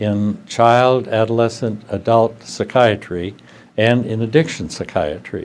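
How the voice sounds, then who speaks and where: In an Upper Midwest accent, a man speaks at a very slow pace with a medium pitch. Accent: Upper Midwest American. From US Midwest, rural Wisconsin near Tomah. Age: 80s+. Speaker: psychiatrist and professor. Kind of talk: interview. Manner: halting, many fillers.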